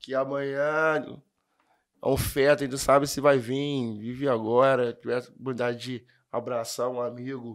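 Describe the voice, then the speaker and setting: At a medium pitch and moderate pace, a man speaks with fairly even intonation in a plain, everyday voice. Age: 20s. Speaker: amateur percussionist and steelworker; podcast guest. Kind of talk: casual chat. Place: studio. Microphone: studio mic.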